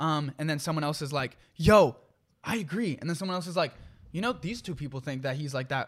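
Over a silent background in a very clean recording, a man with a fairly high, somewhat breathy voice speaks at a fairly quick pace with ordinary pitch variation. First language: not English. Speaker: podcast co-host. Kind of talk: casual chat. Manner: conversational, talks a lot, fillers.

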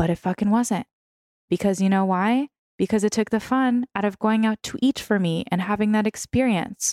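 Animated in tone, a woman speaks at a moderate pace with a fairly high pitch and ordinary pitch variation. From San Francisco. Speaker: food creator and weight loss coach. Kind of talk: casual chat.

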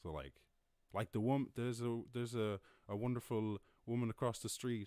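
A man speaks with a Cork accent at a moderate pace. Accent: Cork Irish. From Ireland, Cork. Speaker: streamer. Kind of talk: casual live stream monologue. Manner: animated.

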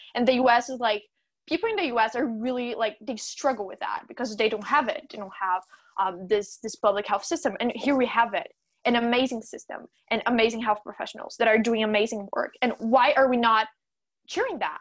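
In a Portuguese accent, a woman talks at a fairly quick pace, her fairly high pitch showing ordinary variation. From Brazil, Sao Paulo. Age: young. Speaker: gender equality activist. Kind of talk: casual chat.

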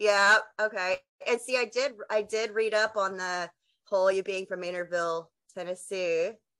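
A woman with a Texan accent speaks at a medium pitch in a bright, sharp tone with fairly even intonation over a quiet background. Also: moderate pace. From West Texas. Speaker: podcast host. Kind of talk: casual interview.

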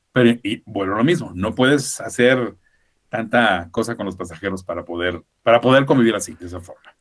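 This man has a plain, everyday voice, medium in pitch with ordinary pitch variation, talking at a fairly quick pace with big swings in loudness. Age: 50s. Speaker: former cruise ship worker. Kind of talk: interview.

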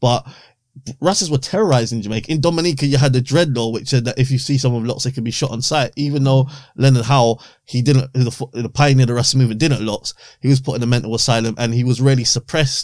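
The delivery comes at a very fast pace with fairly even intonation. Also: man, medium pitch for a man. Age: 30s. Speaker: author. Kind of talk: casual chat.

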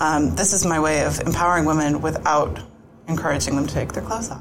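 In an American accent, a woman talks at a very fast pace with a very deep, low pitch and fairly even intonation, amid noticeable background noise and audible room echo. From US Northeast, greater Boston. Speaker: wedding photographer. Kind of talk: casual interview.

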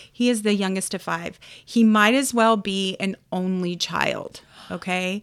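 A woman with an unremarkable speaking voice talks at a fairly slow pace with fairly even intonation. The recording is very clean, with a silent background. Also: medium pitch for a woman. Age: 40s. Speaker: podcast co-host and photographer. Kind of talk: casual chat.

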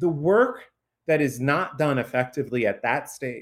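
A man talks at a moderate pace with a fairly high pitch on a very clean recording with a silent background. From southern Illinois, US Midwest. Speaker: researcher and author. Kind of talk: interview conversation.

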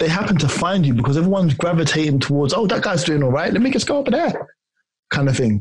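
A man with a London accent at a fairly high pitch, talking at a very fast pace with lively intonation. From South London, Ghanaian family. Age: 40s. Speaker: personal trainer. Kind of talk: interview.

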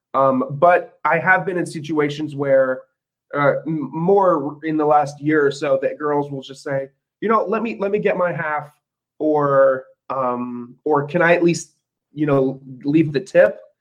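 In a plain, everyday voice, a man speaks at a fairly slow pace with a fairly high pitch and ordinary pitch variation. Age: 20s. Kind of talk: casual chat.

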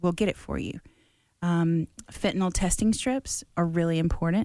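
In a Mississippi accent, a woman speaks at a moderate pace with a fairly low pitch and a dark, mellow tone, recorded very cleanly against a silent background. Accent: US Southern (Mississippi). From Mississippi Gulf Coast. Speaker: harm reduction advocate. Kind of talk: casual interview.

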